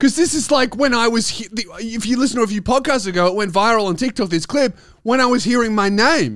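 An animated voice in an Australian accent at a fairly quick pace, on a very clean recording with a silent background. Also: man. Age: 20s. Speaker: stand-up comedian and podcast host. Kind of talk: casual comedic chat, podcast banter with rants.

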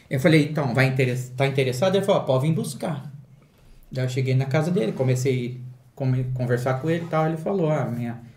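A man's medium-pitched voice at a fairly quick pace, with ordinary pitch variation and audible room echo. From Valinhos, São Paulo state, Brazil. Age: 40s. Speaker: collector and YouTuber. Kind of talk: casual chat.

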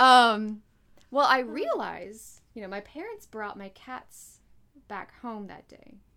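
With an American accent, a woman speaks at a very slow pace in a fairly high pitch, her bright, sharp tone showing ordinary pitch variation and big swings in loudness. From North Carolina, US. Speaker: podcast co-host. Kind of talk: casual chat.

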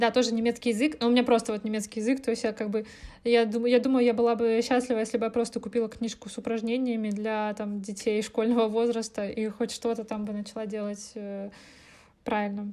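A woman speaks fairly quickly with a dark, mellow tone and a fairly high pitch. Her intonation stays monotone and flat. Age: 20s. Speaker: podcast co-host. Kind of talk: casual chat.

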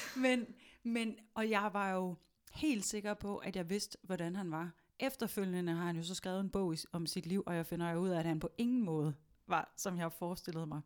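On a very clean recording with a silent background, a woman speaks at medium pitch and a moderate pace with ordinary pitch variation. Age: 30s. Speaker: podcast host. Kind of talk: casual chat. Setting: studio. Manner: hesitant with many fillers.

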